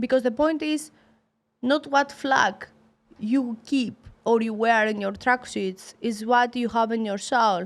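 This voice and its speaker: A woman speaks in a high pitch with a Greek accent. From Greece. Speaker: professional boxer. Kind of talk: interview. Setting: studio. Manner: halting, broken English.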